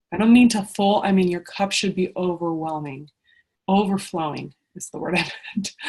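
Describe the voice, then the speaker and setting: Somewhat breathy at a medium pitch, a woman speaks with ordinary pitch variation and big swings in loudness. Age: 30s. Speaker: fitness coach. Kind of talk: sales pitch. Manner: fast; animated.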